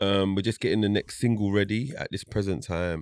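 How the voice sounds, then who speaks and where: A man's fairly low voice in a London accent, at a fairly quick pace, in a dry sound with no echo and a quiet background. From South London, England. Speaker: reggae singer. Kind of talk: casual interview chat. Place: studio. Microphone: studio mic.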